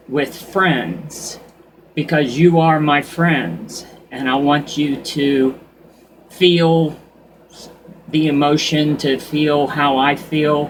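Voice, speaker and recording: A man speaks at a very slow pace with a fairly high pitch. Long, frequent pauses break up his speech over noticeable background noise. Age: 60s. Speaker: vlogger. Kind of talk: casual monologue. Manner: unscripted, halting with restarts.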